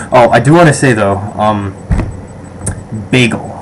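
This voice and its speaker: With an American accent, a man with a fairly low pitch and ordinary pitch variation speaks at a moderate pace amid audible room echo and noticeable background noise. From Western New York, Rochester. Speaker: vlogger. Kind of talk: casual survey vlog. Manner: hesitant, many fillers.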